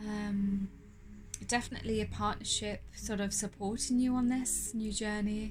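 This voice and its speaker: In an audible room echo, a woman is speaking. Her pace is moderate. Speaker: tarot reader. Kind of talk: tarot reading.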